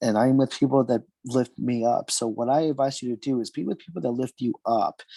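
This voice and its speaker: On a very clean recording with a silent background and a dry, close sound with no echo, a man with an American accent speaks at a medium pitch and a moderate pace in a dark, mellow tone. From US, Pennsylvania (Bucks County). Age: 20s. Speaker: interview guest. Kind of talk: heartfelt message to audience. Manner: halting, self-correcting; earnest.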